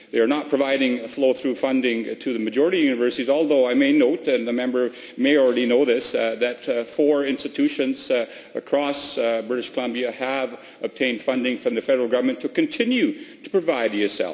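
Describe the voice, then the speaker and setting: Over noticeable background noise, a man talks at a very fast pace. His medium pitch stays in fairly even intonation. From immigrant to Canada. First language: not English. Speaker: provincial cabinet minister. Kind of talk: parliamentary debate. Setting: legislature chamber. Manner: halting, many fillers.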